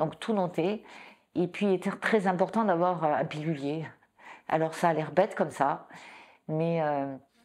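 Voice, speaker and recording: A woman speaks at a fairly low pitch and a fairly slow pace, with ordinary pitch variation and long, frequent pauses, on a very clean recording with a silent background. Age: 60s. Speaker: breast cancer patient. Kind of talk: testimony. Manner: halting, many repetitions.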